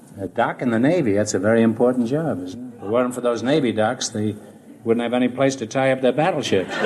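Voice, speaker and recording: A man rushes along at a very fast pace, his pitch varying ordinarily as noticeable noise runs behind him. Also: medium pitch for a man. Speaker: quiz show host. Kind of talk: classic radio quiz show banter with contestants. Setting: old radio broadcast recording.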